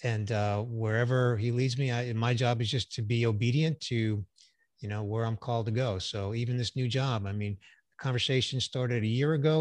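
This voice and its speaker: An unremarkable speaking voice from a man, medium-pitched and fairly quick, with ordinary pitch variation against a quiet background. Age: 60s. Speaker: business executive and voice actor. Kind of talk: casual interview.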